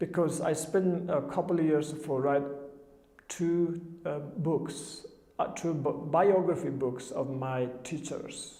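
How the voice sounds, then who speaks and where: Speech in a Tibetan accent moves at a very slow pace with fairly even intonation, with audible room echo and noticeable background noise. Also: man, fairly high pitch for a man. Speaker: Buddhist teacher. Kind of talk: dharma talk. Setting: television studio. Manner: halting.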